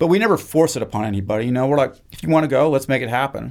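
Here is a man with an American accent at a medium pitch. The recording is very clean and the background silent. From Idaho, US Northwest. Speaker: university professor. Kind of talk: interview conversation.

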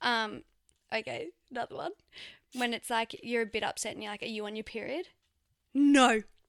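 On a very clean recording with a silent background and a dry, close sound with no echo, a woman with a fairly high pitch and ordinary pitch variation talks at a fairly quick pace with long, frequent pauses. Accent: Australian. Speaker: podcast co-host. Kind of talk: casual chat. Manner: loud.

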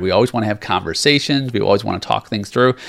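An animated man at a very fast pace, ordinary pitch variation, on a very clean recording with a silent background. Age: 40s. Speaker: podcast host, leadership coach. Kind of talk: solo motivational monologue.

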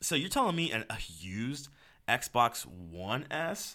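The man's voice has a bright, sharp tone, captured in a very clean recording against a silent background. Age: 20s. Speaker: gaming podcast host. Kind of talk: casual solo podcast monologue. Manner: animated.

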